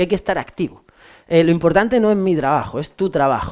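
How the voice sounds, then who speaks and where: Lively in intonation, a man speaks at a very fast pace and a high pitch. The recording is very clean with a silent background. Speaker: law exam tutor. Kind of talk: lecture. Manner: casual, halting with fillers.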